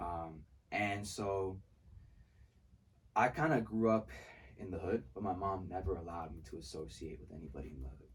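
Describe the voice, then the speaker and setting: A man with a very deep, low pitch speaks in a somewhat breathy voice. His intonation is lively, broken by long, frequent pauses. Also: moderate pace, big swings in loudness. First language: Spanish. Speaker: music producer and songwriter. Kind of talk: casual interview chat. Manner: animated.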